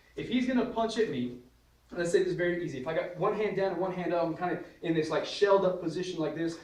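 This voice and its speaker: A high-pitched man with ordinary pitch variation, amid noticeable background noise and audible room echo. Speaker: martial arts instructor. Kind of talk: tutorial. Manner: fast; casual.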